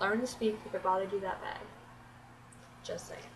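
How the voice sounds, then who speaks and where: The speaker has an American accent and talks at a fairly quick pace. Noticeable background noise runs under the voice. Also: woman. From Florida, US South. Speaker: beauty vlogger. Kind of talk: casual vlog tag video. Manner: animated.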